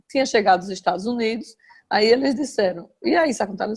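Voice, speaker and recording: Somewhat breathy, a woman talks at a fairly quick pace in a fairly high pitch. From Brazil, Aracaju (Sergipe). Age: 60s. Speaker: journalist. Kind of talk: interview, personal memories.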